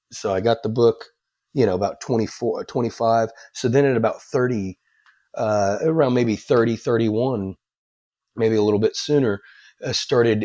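A man talks with an American accent at a medium pitch and a moderate pace. His tone is dark and mellow, with ordinary pitch variation. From Texas, Dallas. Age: 30s. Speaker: recovering addict sharing testimony. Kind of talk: testimony.

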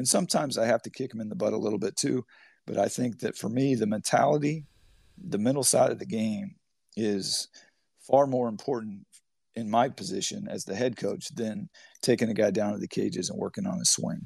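With an American accent, a man uses an unremarkable speaking voice at medium pitch, talking at a fairly quick pace with lively intonation against a quiet background. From Humboldt County, Northern California. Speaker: college baseball head coach. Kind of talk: interview.

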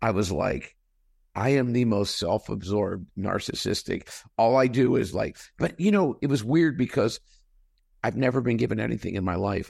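A man speaks at a moderate pace with lively intonation against a quiet background. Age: 60s. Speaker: company CEO. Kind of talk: interview.

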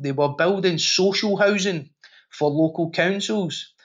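Speaking with a Glaswegian accent, a man uses a high pitch and ordinary pitch variation. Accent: Glaswegian Scottish. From Scotland, Glasgow. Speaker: safety professional and podcast host. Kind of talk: interview conversation.

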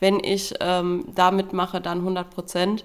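A woman's voice at medium pitch. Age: 20s. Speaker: weight-loss program participant. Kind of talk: interview. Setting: studio.

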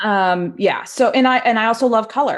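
A woman speaks with a Maritime Canadian accent against a quiet background. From Nova Scotia, Canada. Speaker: photographer and educator. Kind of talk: interview conversation. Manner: casual with frequent fillers.

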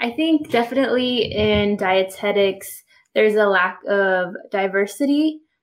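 Speaking fairly slowly in an American accent, a woman has a medium pitch. Her intonation is lively. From Southern California. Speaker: dietitian. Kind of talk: casual interview conversation.

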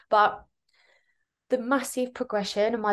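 Against a quiet background, a woman with a southern English accent talks at a moderate pace. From southern England (Kent). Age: 30s. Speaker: business mentor. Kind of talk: casual interview.

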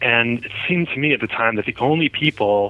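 A man with an American accent has an ordinary speaking voice, talking at a moderate pace with ordinary pitch variation. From New Jersey. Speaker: cardiologist. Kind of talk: interview.

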